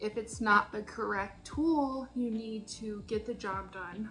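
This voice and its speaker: Faint music sits behind a woman whose pitch varies in an ordinary way. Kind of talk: casual reflective vlog. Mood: upbeat, thoughtful. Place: kitchen. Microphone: phone near.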